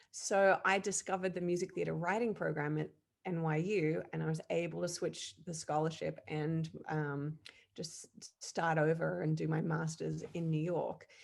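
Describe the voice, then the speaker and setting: Her pitch sits fairly low. A woman talks in an Australian accent. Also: fairly even intonation, moderate pace. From Australia (Perth, Western Australia). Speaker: music director and composer. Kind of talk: interview.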